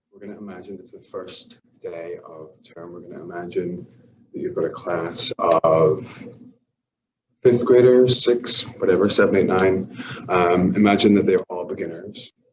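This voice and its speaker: Amid audible room echo, a man talks with big swings in loudness. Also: moderate pace. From Ireland. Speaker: language teacher. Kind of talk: workshop presentation. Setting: empty classroom.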